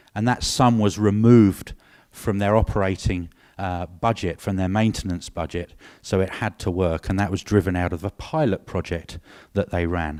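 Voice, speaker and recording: In a very clean recording with a silent background, a man with a British accent has a very deep, low pitch. He talks at a moderate pace with ordinary pitch variation. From UK. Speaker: industry marketing director, former engineer. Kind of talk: conference presentation. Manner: hesitant, many fillers.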